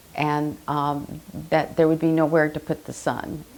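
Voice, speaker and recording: A woman's very deep, low-pitched voice with an American accent. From Southern California (Chula Vista). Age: 70s. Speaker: oral history interviewee. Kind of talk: oral history interview. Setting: library. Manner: hesitant, many fillers.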